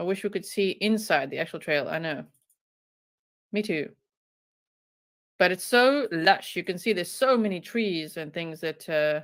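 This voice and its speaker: A strong South African accent with lively intonation, a moderate pace and long, frequent pauses. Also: woman, medium pitch for a woman. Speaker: true crime YouTuber. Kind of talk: live stream commentary. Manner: animated.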